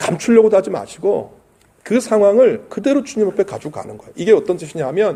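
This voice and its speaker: A man at a high pitch, very fast pace and lively intonation. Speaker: pastor. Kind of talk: sermon.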